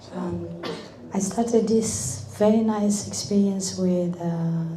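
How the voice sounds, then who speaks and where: With lively intonation, a woman speaks at a medium pitch and a fairly slow pace. There is audible room echo along with noticeable background noise. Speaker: event speaker. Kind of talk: speech. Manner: halting.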